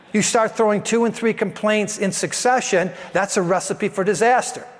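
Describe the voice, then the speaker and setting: A man with a high pitch speaks at a moderate pace with fairly even intonation, over noticeable background noise. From Italian heritage. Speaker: pastor. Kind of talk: sermon. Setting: church. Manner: loud.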